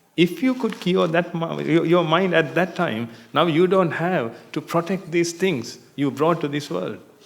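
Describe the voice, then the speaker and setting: A man talks at a fairly slow pace in a high voice. Audible room echo surrounds the recording. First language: not English. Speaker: Buddhist monk teacher. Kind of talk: dharma talk. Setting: meditation retreat hall with audience.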